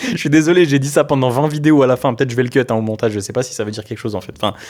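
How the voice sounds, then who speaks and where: The man speaks at a very fast pace. His pitch is medium, with ordinary variation. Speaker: personal development youtuber. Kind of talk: casual improvised monologue to camera. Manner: loud; casual, hesitant with fillers.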